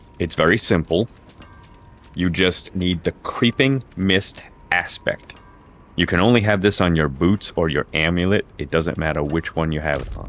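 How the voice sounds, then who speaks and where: Over noticeable background noise, a man with a very deep, low voice speaks at a moderate pace with ordinary pitch variation. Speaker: gaming youtuber. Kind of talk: gameplay tutorial. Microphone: crackling noise from microphone.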